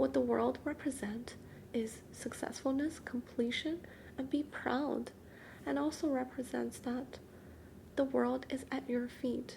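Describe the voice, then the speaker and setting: The voice is soft-spoken. It moves at a fairly slow pace. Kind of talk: soft-spoken ASMR tarot card reading.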